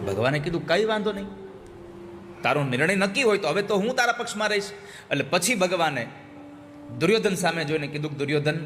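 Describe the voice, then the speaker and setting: The intonation is lively. Noticeable background noise sits behind the speech. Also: man, high pitch for a man. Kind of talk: religious discourse.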